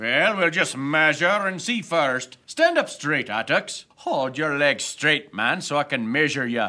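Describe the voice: A man puts on a character voice with a bright, sharp tone and fairly high pitch. He speaks at a fairly slow pace with lively intonation.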